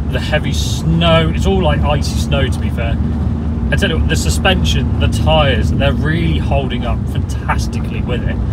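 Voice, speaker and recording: Loud background noise runs throughout. The man speaks at a moderate pace. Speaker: presenter. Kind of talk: car review commentary. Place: car.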